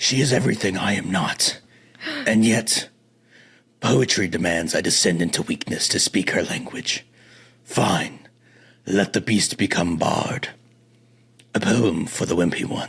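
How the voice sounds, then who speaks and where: A man's put-on character voice, growling and fairly low, with long, frequent pauses. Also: moderate pace. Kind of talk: poetic. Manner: brooding, reflective, theatrical.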